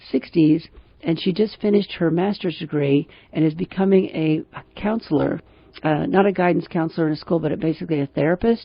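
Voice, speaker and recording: A woman talks at a fairly quick pace in an ordinary speaking voice. Her pitch is fairly low, with ordinary pitch variation. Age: 60s. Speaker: radio host and financial planner. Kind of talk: radio talk show commentary. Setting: radio studio.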